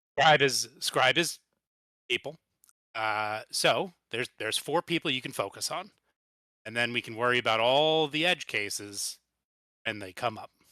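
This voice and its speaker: A man's raspy, put-on character voice at medium pitch and moderate pace, with long, frequent pauses, on a very clean recording with a silent background. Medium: actual play. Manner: dry, blunt, pragmatic.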